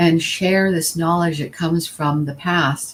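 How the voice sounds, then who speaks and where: This woman's voice is fairly low in pitch and somewhat breathy. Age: 60s. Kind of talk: panel talk. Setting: live stream panel.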